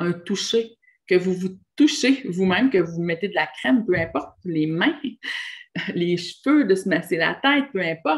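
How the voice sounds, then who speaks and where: A woman speaks with a somewhat breathy voice against a quiet background. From Quebec. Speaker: relationship and spiritual coach; spiritual coach. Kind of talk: monologue video talk. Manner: hesitant fillers. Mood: warm, encouraging. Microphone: webcam.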